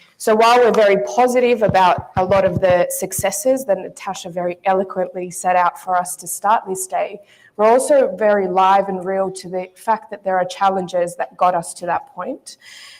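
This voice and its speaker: A woman's medium-pitched voice with an Australian accent, moderate in pace, with fairly even intonation and big swings in loudness. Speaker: panel moderator. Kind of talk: conference panel moderation. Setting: stage with audience. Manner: formal.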